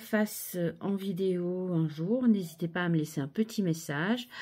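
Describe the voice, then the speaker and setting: A soft-spoken woman's dark, mellow tone at a fairly slow pace. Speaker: craft video creator. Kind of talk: crafting tutorial. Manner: casual, chatty.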